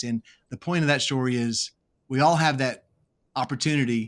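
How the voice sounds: A man with an American accent, at a fairly quick pace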